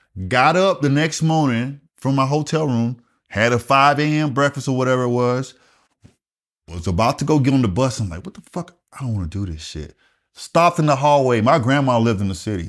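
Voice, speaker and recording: A man talks with a Southern US accent at a fairly quick pace and with lively intonation. The recording is very clean, with a silent background. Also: medium pitch for a man. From US South, rural South Carolina. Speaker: retired Air Force master sergeant. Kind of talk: casual interview storytelling.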